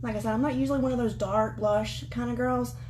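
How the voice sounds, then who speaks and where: A woman is speaking over noticeable background noise. The room echo is audible. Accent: strong Southern US. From US South. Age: 20s. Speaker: beauty vlogger. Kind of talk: makeup tutorial livestream. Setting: livestream from home. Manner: fast; animated.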